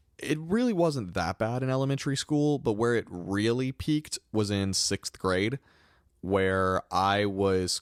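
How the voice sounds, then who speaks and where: Speaking at a fairly slow pace, a man has a northern US accent and lively intonation. The recording is very clean with a silent background, dry and close with no echo. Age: 20s. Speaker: podcast host. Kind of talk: testimony.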